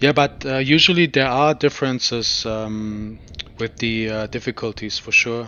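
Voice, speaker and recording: This man talks at a moderate pace and medium pitch, with a slight German accent. His tone is calm and relaxed, and his pitch varies in an ordinary way. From Germany. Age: 30s. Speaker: video game streamer. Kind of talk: live gameplay commentary. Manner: halting, many fillers; calm, relaxed.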